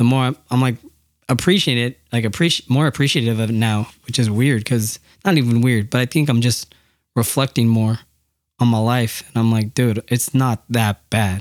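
In a very clean recording with a silent background, a man speaks at a medium pitch and moderate pace with an American accent. He has a normal speaking voice, and his loudness is very even. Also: ordinary pitch variation. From Yakima, Washington, US. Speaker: podcast co-host. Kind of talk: casual chat.

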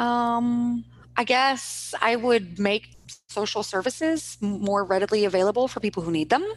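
A woman with an American accent, a fairly high pitch and ordinary pitch variation, at a moderate pace. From US Midwest, Kansas City, Missouri. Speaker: former teacher, stay-at-home mom. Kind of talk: interview conversation.

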